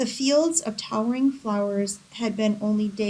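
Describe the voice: The pitch moves in an ordinary way. What we hear is plain reading aloud.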